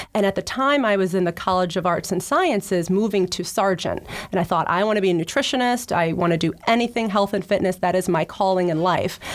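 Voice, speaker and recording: An unremarkable speaking voice with an American accent moves at a fairly quick pace, with ordinary pitch variation and very even loudness. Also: woman, medium pitch for a woman. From South Jersey, US. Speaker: public relations executive. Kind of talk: interview. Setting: studio.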